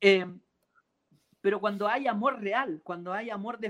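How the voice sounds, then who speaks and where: With a Chilean accent, a man speaks at a moderate pace in a high-pitched voice with a bright, sharp tone. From Chile, Santiago. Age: 30s. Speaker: composer and keyboardist. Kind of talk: interview. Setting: video call from a parked car.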